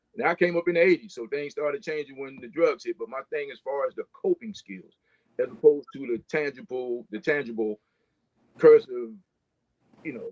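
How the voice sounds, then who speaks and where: At a fairly quick pace, a man speaks in a plain, everyday voice with lively intonation. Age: 60s. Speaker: firefighter. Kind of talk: panel discussion.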